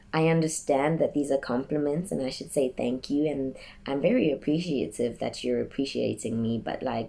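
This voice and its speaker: At a moderate pace, a woman speaks with a very deep, low pitch, a dark, mellow tone, vocal fry and ordinary pitch variation. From South Africa. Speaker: vlogger telling a personal story. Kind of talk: personal testimony to camera.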